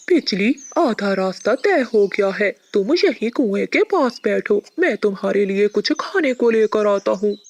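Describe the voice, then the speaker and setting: In a cartoonish character voice, the speaker talks at a fairly high pitch. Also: moderate pace. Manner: soft, earnest.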